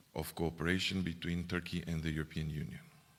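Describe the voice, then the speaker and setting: In a Romanian accent, a man speaks with a very deep, low pitch. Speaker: EU official. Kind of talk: speech. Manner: halting.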